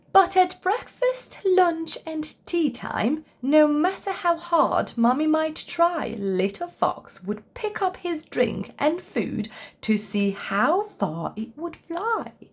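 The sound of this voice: A woman speaks slowly in a high voice, her pitch swinging widely, with few pauses.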